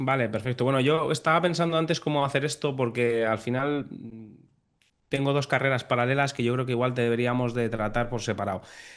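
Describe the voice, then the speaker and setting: Against a quiet background, a man talks at a fairly quick pace with fairly even intonation. He has an unremarkable speaking voice of medium pitch. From Spain, Navarre (Pamplona). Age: 30s. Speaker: airline captain. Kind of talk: interview podcast.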